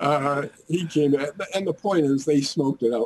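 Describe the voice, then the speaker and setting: A somewhat breathy man with a fairly high pitch, at a moderate pace. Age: 80s. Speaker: physician and author on medical marijuana. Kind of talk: interview. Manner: halting.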